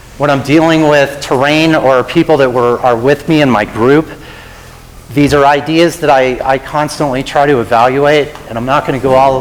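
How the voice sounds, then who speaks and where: Fairly high pitch from a male speaker, with noticeable noise in the background. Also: moderate pace. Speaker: avalanche safety presenter. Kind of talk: lecture.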